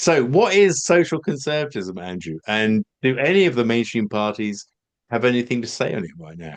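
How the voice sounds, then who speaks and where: Over a quiet background, a man talks at a moderate pace with a medium pitch. His pitch swings very widely and his loudness varies greatly. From England, half northeast heritage. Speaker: political podcast host. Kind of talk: conversational interview. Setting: video call.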